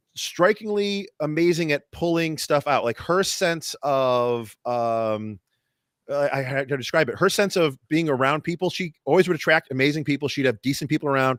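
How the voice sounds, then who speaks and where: The recording is very clean, with a silent background and a dry, close sound with no echo. A man speaks in a fairly high pitch with ordinary pitch variation. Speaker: podcast host. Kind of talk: casual chat. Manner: fast, stumbling.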